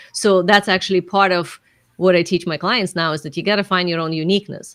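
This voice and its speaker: A woman with a non-native accent speaks at medium pitch and a very fast pace. Her intonation stays fairly even. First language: not English. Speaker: business coach and author. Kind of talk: podcast interview.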